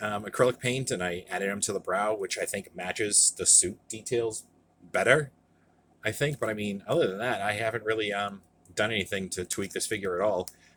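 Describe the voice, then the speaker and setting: A man mumbles at a fairly quick pace. His pitch is fairly low, and his intonation fairly even. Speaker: toy collector youtuber. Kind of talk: casual review monologue. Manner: mumbling; halting, many fillers.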